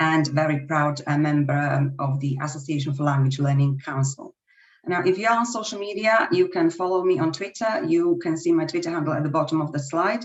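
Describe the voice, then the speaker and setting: A woman's very deep, low voice in a Slovak accent, at a fairly quick pace with ordinary pitch variation. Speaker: language teacher. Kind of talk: webinar presentation.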